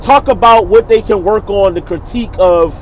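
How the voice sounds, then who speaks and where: Over noticeable background noise, a man with a Baltimore accent speaks at a fairly slow pace. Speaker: battle rap reviewer, channel host. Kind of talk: casual video commentary. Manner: casual, informal slang.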